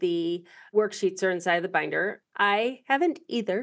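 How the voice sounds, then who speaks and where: This woman's pitch swings very widely as she talks. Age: 50s. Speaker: podcast host. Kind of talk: interview.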